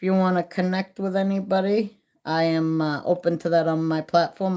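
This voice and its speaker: In a very clean recording with a silent background, a woman with an American accent speaks in a monotone, flat delivery at a fairly low pitch with a dark, mellow tone. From Maine, US. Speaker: live streamer. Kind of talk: casual live stream chat while crafting. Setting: live stream. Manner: casual, slangy.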